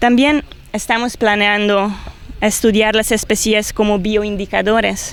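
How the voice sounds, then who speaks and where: A woman's fairly high voice, monotone and flat, at a fairly slow pace. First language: Hungarian (speaking Spanish). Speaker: biologist and cave researcher. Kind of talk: interview. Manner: halting.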